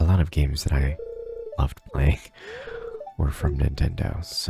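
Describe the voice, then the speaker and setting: With music in the background, a soft-spoken man with an American accent talks at a very deep, low pitch and a fairly even intonation. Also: moderate pace. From United States. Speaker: YouTube gamer. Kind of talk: ASMR gameplay ramble.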